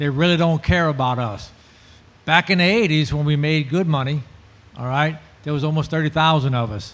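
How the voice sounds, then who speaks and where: A man with a South Louisiana accent talks with ordinary pitch variation. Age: 60s. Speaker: shrimper and oyster farmer. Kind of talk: panel discussion. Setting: festival panel with audience.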